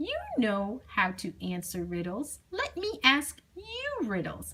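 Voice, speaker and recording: Using a put-on character voice, a woman speaks high-pitched at a fairly slow pace. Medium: read story. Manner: eager, excitable.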